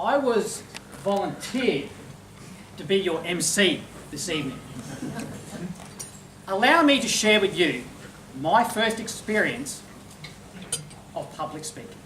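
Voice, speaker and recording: A man with a high pitch speaks with very wide pitch swings and long, frequent pauses. Noticeable background noise runs throughout. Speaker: master of ceremonies, professional speaker. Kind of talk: opening address at a formal dinner, humorous speech. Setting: function room with live audience.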